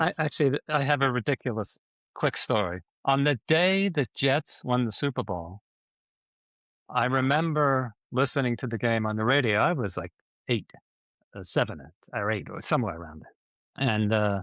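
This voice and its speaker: Against a quiet background, a man of medium pitch with an American accent speaks at a moderate pace with lively intonation and long, frequent pauses, in a dry, close sound with no echo. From Long Island, New York. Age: 60s. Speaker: podcast co-host. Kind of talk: casual chat.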